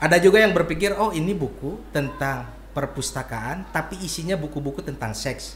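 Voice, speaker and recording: Here a man talks at a fairly quick pace with hardly any pauses. Noticeable background noise runs underneath. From Bandung, West Java, Indonesia. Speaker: author and bookseller. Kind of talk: casual interview. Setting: in person.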